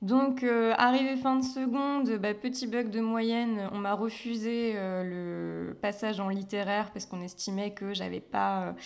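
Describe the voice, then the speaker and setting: A woman with a plain, everyday voice speaks at a fairly slow pace, her fairly high pitch following fairly even intonation. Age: 20s. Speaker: sales adviser and graphic designer. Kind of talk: casual interview.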